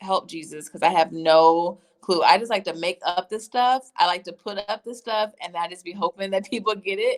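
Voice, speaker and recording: With an American accent, a woman in a plain, everyday voice talks at a moderate pace and medium pitch, with ordinary pitch variation. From US South (Tennessee). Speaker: career coach and entrepreneur. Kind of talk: casual livestream chat.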